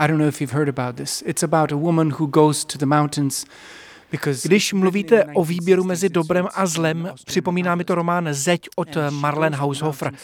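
A man speaks at a moderate pace with fairly even intonation in an unremarkable speaking voice. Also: fairly high pitch for a man. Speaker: interviewer. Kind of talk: interview.

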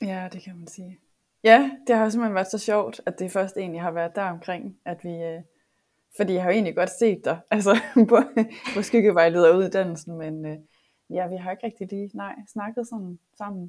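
At a fairly slow pace, a woman with a plain, everyday voice speaks at a medium pitch with big swings in loudness. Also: ordinary pitch variation. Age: 30s. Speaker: online coach. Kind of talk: casual chat. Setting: online video call.

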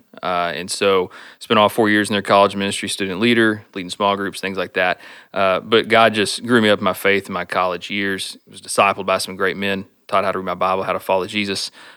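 A bright, sharp voice with a Texan accent at a very fast pace, monotone and flat in intonation, on a very clean recording with a silent background. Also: man, fairly low pitch for a man. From Stephenville, Texas. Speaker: church planting candidate and college minister. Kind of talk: casual interview.

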